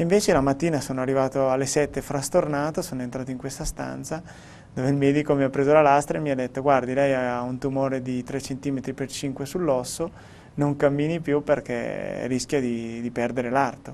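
A man speaks at a moderate pace with fairly even intonation. Light background noise sits behind him. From Italy. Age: 30s. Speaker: professional cyclist; interviewee. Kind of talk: interview. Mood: calm, reflective. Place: studio. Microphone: lapel.

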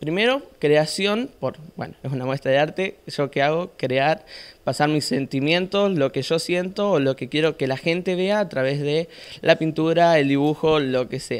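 With ordinary pitch variation, a man delivers his words at a moderate pace. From Argentina, Santa Fe province (Sunchales); Santa Fe province, Argentina. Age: young. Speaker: amateur painter; guest. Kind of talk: interview. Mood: modest, a bit shy. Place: studio.

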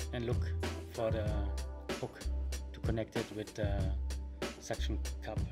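Over loud background music, a man speaks at a fairly slow pace, leaving long, frequent pauses. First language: German. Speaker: tutorial maker. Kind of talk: software tutorial narration. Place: home room. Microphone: webcam.

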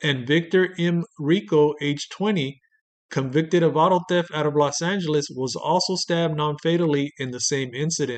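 A man at a fairly high pitch talks at a moderate pace in an ordinary speaking voice. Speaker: true-crime narrator. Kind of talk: true-crime narration, scripted documentary-style. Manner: measured, deadpan, grave; formal, steady storytelling pace.

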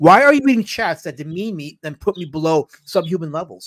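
Lively intonation and a fairly quick pace mark this man's high-pitched speech. The sound is dry and close with no echo. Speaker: comic book creator. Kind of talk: casual chat. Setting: video call.

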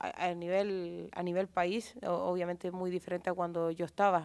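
Medium-pitched woman's voice at a fairly slow pace, quiet background. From Chile. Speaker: footballer. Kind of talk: press conference. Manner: halting. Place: hall. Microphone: podium.

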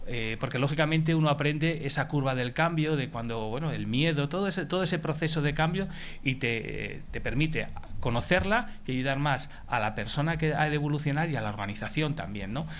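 With vocal fry and ordinary pitch variation, a man talks at a fairly quick pace over light background noise. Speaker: HR executive; speaker. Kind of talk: conference talk. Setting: stage with audience. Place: meeting room. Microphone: headset.

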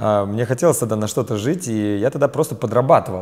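A man's dark, mellow voice at a fairly quick pace, with ordinary pitch variation, over a quiet background. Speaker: business trainer and company founder. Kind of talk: interview. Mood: relaxed, smiling. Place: studio. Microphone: lapel.

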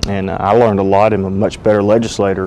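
A man with an unremarkable speaking voice, fairly low in pitch with fairly even intonation, over light background noise. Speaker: guest. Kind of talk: interview answer. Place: studio. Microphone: lapel.

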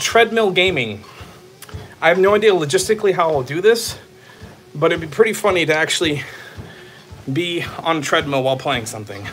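A man with an American accent, high-pitched, at a fairly quick pace, with very wide pitch swings, long and frequent pauses, and music in the background. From Texas. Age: 30s. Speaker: streamer. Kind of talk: live stream chat. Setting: on a treadmill. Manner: animated. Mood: playful, amused. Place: home room. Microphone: phone near.

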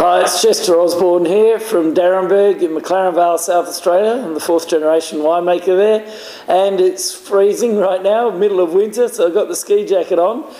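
Room echo can be heard around a man's high voice. His intonation is fairly even. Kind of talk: product presentation talk. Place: bar.

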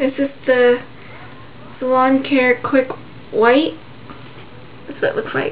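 There is light background noise. A woman speaks at a high pitch. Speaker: hair tutorial vlogger. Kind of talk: tutorial. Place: home room. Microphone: webcam.

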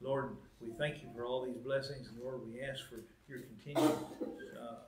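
At a fairly quick pace, a man talks with ordinary pitch variation over noticeable background noise. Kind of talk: announcements and public prayer. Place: church. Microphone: podium.

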